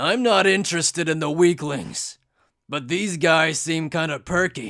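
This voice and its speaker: A raspy, cartoonish character voice from a man has a fairly high pitch and ordinary pitch variation, in a very clean recording with a silent background. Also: moderate pace. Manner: brash, rough.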